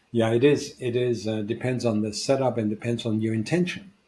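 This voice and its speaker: The recording is very clean with a silent background. A man of medium pitch sounds somewhat breathy, with a dark, mellow tone and fairly even intonation. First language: not English. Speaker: podcast co-host, founder and coach. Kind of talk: casual discussion.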